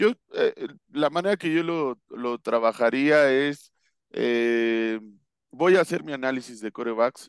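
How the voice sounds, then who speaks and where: The sound is dry and close with no echo as a man speaks at a very slow pace. His medium pitch has ordinary variation. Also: quiet background. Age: 40s. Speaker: American football coach. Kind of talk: casual interview analysis. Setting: video call. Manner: hesitant with fillers and repetitions.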